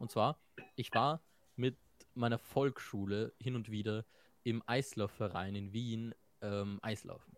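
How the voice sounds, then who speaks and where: Recorded with a dry, close sound and no echo, a man speaks very slowly at a medium pitch, with fairly even intonation and long, frequent pauses. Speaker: podcast co-host. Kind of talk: casual chat.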